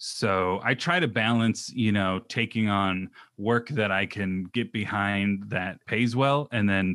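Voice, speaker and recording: In a plain, everyday voice, a man with an American accent speaks at a fairly low pitch with fairly even intonation, recorded very cleanly against a silent background with a dry, close sound and no echo. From Southern California, Orange County. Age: 30s. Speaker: hiker and podcaster. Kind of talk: casual interview chat.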